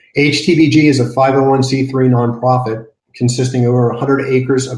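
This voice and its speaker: A man speaks at a medium pitch and a fairly quick pace, his voice somewhat breathy and his intonation monotone and flat. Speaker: nonprofit garden director. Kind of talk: conference panel presentation. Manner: fast.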